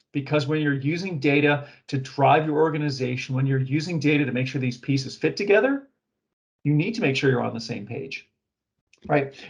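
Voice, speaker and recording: A man with a fairly high pitch and a somewhat breathy voice talks at a fairly quick pace with ordinary pitch variation. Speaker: webinar presenter on data governance. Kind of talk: webinar presentation. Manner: fast.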